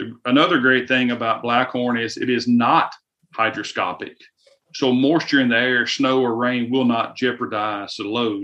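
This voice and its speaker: With a Southern US accent, a man speaks in a bright, sharp tone. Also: medium pitch for a man, fairly even intonation, moderate pace. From US South. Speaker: firearms company representative. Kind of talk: casual interview.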